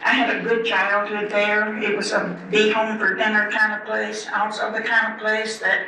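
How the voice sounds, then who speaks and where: A fairly high-pitched woman at a moderate pace, amid noticeable background noise and audible room echo. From US South (northeastern Alabama). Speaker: former race car driver. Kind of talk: life story talk.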